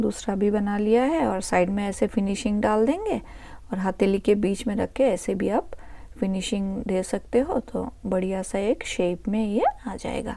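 A woman talks at a fairly slow pace with ordinary pitch variation and a dark, mellow tone. The sound is dry with no echo, and the background is quiet. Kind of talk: tutorial. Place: kitchen. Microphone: phone near.

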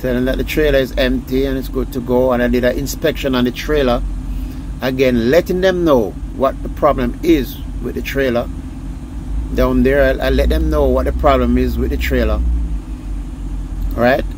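A man at a medium pitch speaks with fairly even intonation and long, frequent pauses over clear background noise. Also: moderate pace.

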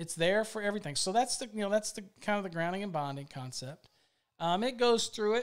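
Against a quiet background, a man with an American accent talks with ordinary pitch variation. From Virginia. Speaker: electrical code instructor. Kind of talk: live product demo; live stream product demonstration. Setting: live video stream. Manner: casual. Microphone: studio mic.

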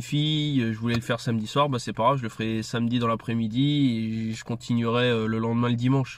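Flat, monotone delivery at a fairly quick pace. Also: man, dry sound with no echo. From France. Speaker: video creator and commentator. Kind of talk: angry rant about curfew; casual monologue to camera. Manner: sarcastic, indignant, fast and heated. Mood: annoyed, critical. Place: car. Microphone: phone near.

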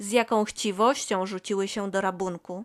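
A woman with a gentle tone and medium pitch is heard dry and close with no echo, in a very clean recording with a silent background. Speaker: audiobook narrator. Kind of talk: bedtime story reading aloud. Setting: home recording. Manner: soft, gentle, slow storytelling.

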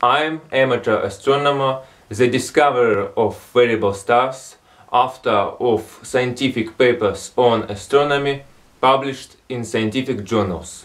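A man talks with a Russian accent. His pace is fairly slow and his intonation fairly even. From Russian Far East. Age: 20s. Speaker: amateur astronomer. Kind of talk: appeal for help to camera. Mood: calm, earnest plea. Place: home room. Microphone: phone near.

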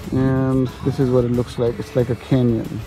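Clear music plays behind a man speaking at a moderate pace, the sound dry with no echo. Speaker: travel vlogger. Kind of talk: casual vlog chat. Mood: relaxed, enthusiastic. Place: open country. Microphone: phone near.

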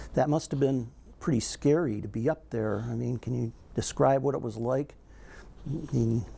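A man's voice has a dark, mellow tone and is somewhat breathy. He speaks at a moderate pace. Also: medium pitch for a man, ordinary pitch variation. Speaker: oral history interviewer. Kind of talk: interview. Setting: museum interview on video. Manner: formal. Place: studio. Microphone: lapel.

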